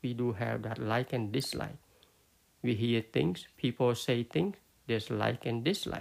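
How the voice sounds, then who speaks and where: A man's medium-pitched voice with a Cambodian accent, ordinary pitch variation, a fairly slow pace and vocal fry. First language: Khmer. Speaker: Buddhist teacher. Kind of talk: dharma talk. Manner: halting, many fillers.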